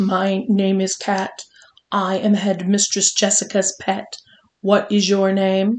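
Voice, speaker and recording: A woman puts on a robotic character voice at a medium pitch, speaking at a fairly slow pace with monotone, flat intonation. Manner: loud.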